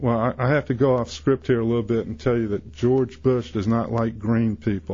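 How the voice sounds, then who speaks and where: Somewhat breathy, a man with an American accent speaks with lively intonation. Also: medium pitch for a man, moderate pace, hardly any pauses. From US South. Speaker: insurance seller. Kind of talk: radio interview.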